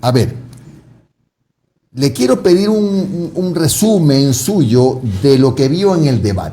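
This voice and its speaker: Amid audible room echo, a man with a fairly high pitch and a dark, mellow, somewhat breathy tone speaks at a very slow pace, with lively intonation and long, frequent pauses. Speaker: TV interviewer. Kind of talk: interview.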